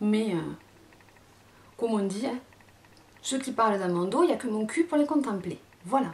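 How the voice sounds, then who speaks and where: With a southern French accent, a woman speaks at a fairly high pitch and a moderate pace, her intonation lively and broken by long, frequent pauses. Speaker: beauty youtuber. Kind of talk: casual vlog. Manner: halting, many fillers.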